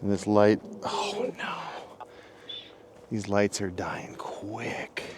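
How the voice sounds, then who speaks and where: A man whispers very slowly, leaving long, frequent pauses. Noticeable background noise is present. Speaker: outdoor vlogger. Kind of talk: vlog monologue. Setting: outdoors in woods at night.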